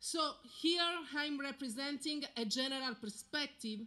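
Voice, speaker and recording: A woman with an Italian accent talks at a very slow pace. Her tone is bright and sharp, with ordinary pitch variation. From Italy. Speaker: military spouse speaker. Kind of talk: ceremonial speech. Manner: formal.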